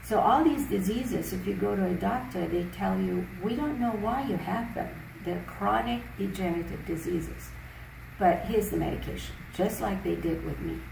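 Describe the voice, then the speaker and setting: A woman's voice comes through noticeable background noise and audible room echo. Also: moderate pace. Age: 70s. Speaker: natural health teacher. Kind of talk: interview. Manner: hesitant fillers.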